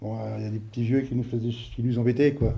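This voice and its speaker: A man's dark, mellow voice comes out somewhat breathy at a fairly quick pace. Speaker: elderly villager interviewed. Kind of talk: interview reminiscence. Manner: hesitant, colloquial.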